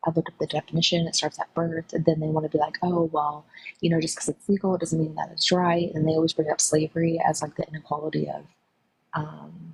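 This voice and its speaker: Quiet, somewhat breathy woman's voice, fairly low in pitch, with monotone, flat intonation at a fairly quick pace and a dry, close sound with no echo. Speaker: caller on live stream. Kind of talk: casual discussion. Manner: hesitant with many fillers.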